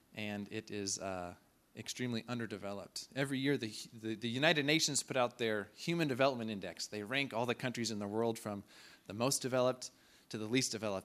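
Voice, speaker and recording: At a very fast pace, a voice with an American accent and ordinary pitch variation comes through in a very clean recording with a silent background. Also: man. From Kansas, US (Clearwater). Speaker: missionary. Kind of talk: church presentation. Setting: church.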